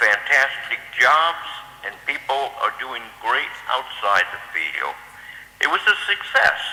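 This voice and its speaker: Noticeable background noise sits behind a man talking at a very slow pace. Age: 70s. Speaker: former training program manager. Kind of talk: tribute speech.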